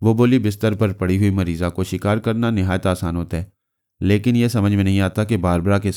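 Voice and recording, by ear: A natural voice reads aloud. Behind it, things are quiet.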